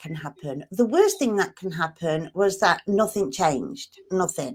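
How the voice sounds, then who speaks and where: A woman with a Manchester accent and medium pitch talks at a fairly slow pace with lively intonation. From northern England, Manchester. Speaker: marketing coach. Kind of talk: interview.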